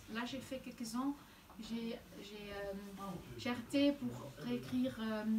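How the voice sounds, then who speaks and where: At a very slow pace, a woman with a Flemish accent speaks in a fairly high pitch with lively intonation and long, frequent pauses over noticeable background noise. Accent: Flemish Dutch accent in French. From Flanders, Belgium (near Antwerp). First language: Dutch (speaking French). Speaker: novelist. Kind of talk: interview. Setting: bookshop event with audience. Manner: halting, many repetitions and hesitations.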